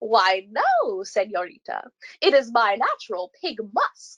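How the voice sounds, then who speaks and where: Putting on a character voice, a woman speaks fairly slowly at a fairly high pitch. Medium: read story. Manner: snorting, proud.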